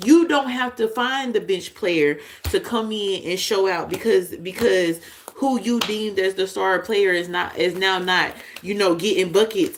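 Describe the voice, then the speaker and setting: At a fairly slow pace, a woman talks in an animated tone over noticeable background noise. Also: medium pitch for a woman, ordinary pitch variation. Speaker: tarot reader. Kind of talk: intuitive tarot reading. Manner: animated, preachy.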